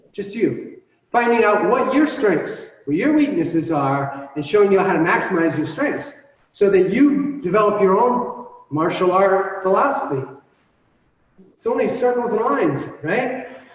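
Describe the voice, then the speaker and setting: The voice swings very widely in pitch, with audible room echo around it. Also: man, high pitch for a man, moderate pace. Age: 50s. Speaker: martial arts instructor. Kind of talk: instruction class. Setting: video call.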